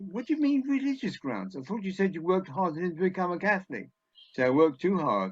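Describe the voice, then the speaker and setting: In an English accent, a man talks at a very fast pace, his high pitch swinging very widely. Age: 80s+. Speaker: comedy scriptwriter. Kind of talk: after-dinner talk.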